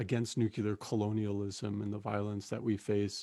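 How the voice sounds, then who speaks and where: In a very clean recording with a silent background, a man with an American accent talks at a moderate pace and a fairly low pitch. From Navajo Nation, Arizona. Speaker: musician and activist. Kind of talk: spoken introduction before a song.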